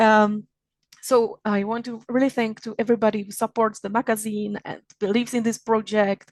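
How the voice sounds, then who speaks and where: In a dry, close sound with no echo, a woman speaks at a fairly high pitch and a moderate pace with monotone, flat intonation and big swings in loudness. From Czech Republic. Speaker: magazine founder and event organizer. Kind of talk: opening remarks at online event. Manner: halting, many fillers and restarts.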